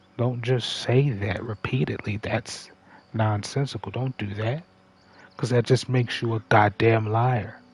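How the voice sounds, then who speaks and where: This man's voice is somewhat breathy. He talks at a fairly slow pace with fairly even intonation. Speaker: gaming livestreamer. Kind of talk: casual livestream monologue. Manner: conversational, halting.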